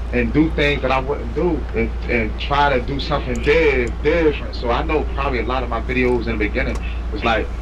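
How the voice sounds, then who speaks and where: A man's very deep, low, monotone voice with flat intonation, audible room echo and noticeable background noise. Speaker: incarcerated man claiming innocence. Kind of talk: casual chat. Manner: quiet-spoken; halting.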